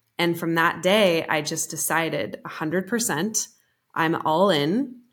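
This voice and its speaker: A woman speaks in an ordinary speaking voice with a fairly low pitch. Her pitch varies in an ordinary way at a moderate pace. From Colorado. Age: 30s. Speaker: business coach. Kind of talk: casual interview chat.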